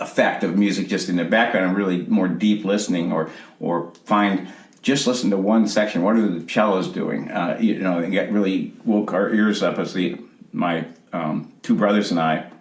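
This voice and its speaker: A man speaks at a moderate pace in a fairly low pitch with fairly even intonation. Noticeable background noise and audible room echo are present. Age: 60s. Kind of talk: interview. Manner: halting.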